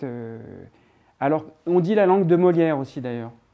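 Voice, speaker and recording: Here a man talks at a moderate pace in a dark, mellow tone. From southern France (Provence). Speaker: actor and theatre director. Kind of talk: interview. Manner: halting.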